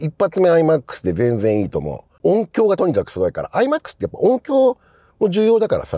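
A man talking at a fairly quick clip, dry and echo-free against a quiet background. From Japan. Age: 50s. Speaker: film journalist. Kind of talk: casual monologue; casual commentary. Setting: in a car. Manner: conversational, many fillers. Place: car.

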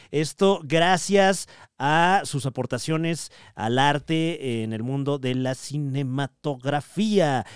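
Speaking very slowly with a Mexican accent, a man uses a fairly high pitch and ordinary pitch variation on a very clean recording with a silent background. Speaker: comedy podcast host. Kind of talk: casual chat. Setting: live show with audience.

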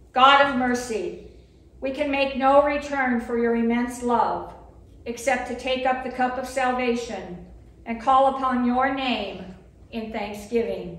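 A woman speaks with a high pitch and long, frequent pauses. Audible room echo surrounds her voice. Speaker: lay reader at Mass. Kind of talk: liturgical reading and prayer. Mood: calm, solemn. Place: church. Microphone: podium.

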